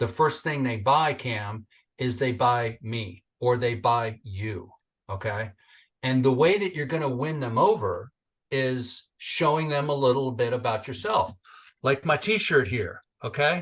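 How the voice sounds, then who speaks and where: Against a quiet background, a man with an American accent speaks at a fairly slow pace and medium pitch, somewhat breathy, in an animated tone with lively intonation. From Northern California. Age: 60s. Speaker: entrepreneur and military veteran. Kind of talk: interview podcast.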